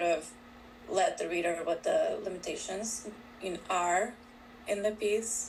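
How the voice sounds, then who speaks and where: Someone with a Spanish accent speaks at a fairly slow pace with fairly even intonation over noticeable background noise. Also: woman. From Colombia (Bogotá). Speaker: author. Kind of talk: interview. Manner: hesitant, many fillers.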